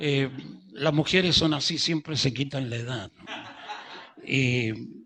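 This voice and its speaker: A man speaks fairly slowly while noticeable noise runs in the background. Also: fairly high pitch for a man, ordinary pitch variation. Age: 70s. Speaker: pastor. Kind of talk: sermon. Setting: church service. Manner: slow, unhurried; calm, not gesticulating.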